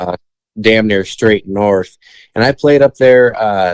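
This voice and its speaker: A man speaks at a fairly slow pace with a Midwestern American accent. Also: dry, close sound with no echo. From Michigan. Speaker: country singer-songwriter. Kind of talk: casual podcast interview answer.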